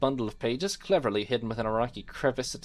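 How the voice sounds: This is a natural reading voice. Its intonation is fairly even.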